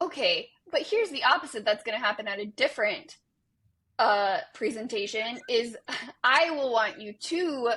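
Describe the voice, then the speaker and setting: A woman speaks at a moderate pace with a high pitch and ordinary pitch variation. Her tone is bright and sharp. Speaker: podcast co-host, behavior analyst. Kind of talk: casual chat. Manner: loud when passionate.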